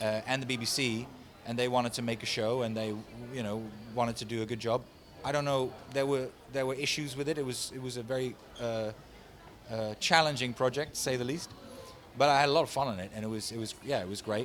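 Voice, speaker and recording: With a Dutch accent, a man talks very fast at a medium pitch with fairly even intonation and long, frequent pauses. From Netherlands. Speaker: voice actor and animation director. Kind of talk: casual interview. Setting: convention.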